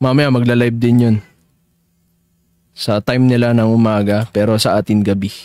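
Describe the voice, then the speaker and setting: Pausing long and often, a man speaks at a medium pitch in a flat monotone with a dark, mellow tone. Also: moderate pace, very even loudness. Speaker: digital artist streaming live. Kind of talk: casual live-stream chat while drawing. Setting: live stream. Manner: loud.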